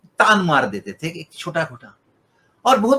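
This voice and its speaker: In a raised, projected voice, a man speaks at a high pitch with very wide pitch swings and a bright, sharp tone. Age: 70s. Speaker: guitarist and musician. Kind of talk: interview.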